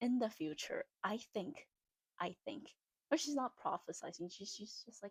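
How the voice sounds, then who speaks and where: A woman's somewhat breathy voice swings very widely in pitch. The recording is dry and close, with no echo. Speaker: vlogger. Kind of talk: casual monologue. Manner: halting.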